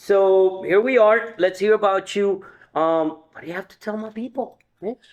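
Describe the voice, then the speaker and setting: A high-pitched man's voice at a moderate pace with fairly even intonation. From Colombia. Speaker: podcast host. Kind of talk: casual interview chat.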